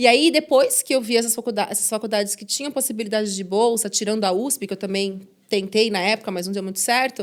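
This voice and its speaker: On a very clean recording with a silent background, a woman with a plain, everyday voice speaks fairly quickly at a fairly high pitch with ordinary pitch variation. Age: 30s. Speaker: journalist and podcast host. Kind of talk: interview. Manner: casual, conversational.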